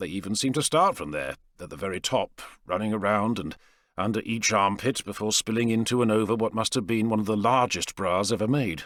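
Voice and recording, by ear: A man's fairly low, fairly bright voice on a very clean recording with a silent background. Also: ordinary pitch variation, fairly quick pace.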